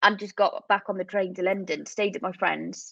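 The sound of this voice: A woman's voice with vocal fry and fairly even intonation. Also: medium pitch for a woman, moderate pace.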